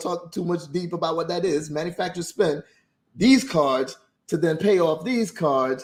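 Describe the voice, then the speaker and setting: With an animated tone and a fairly quick pace, a man speaks at a high pitch with ordinary pitch variation. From Jamaica. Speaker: business credit coach, livestream host. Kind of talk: livestream talk on credit management. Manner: fast.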